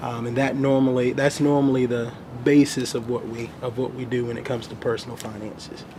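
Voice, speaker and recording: Against noticeable background noise, a man of medium pitch speaks with fairly even intonation. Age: 20s. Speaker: financial planner. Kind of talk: interview. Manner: halting, many fillers.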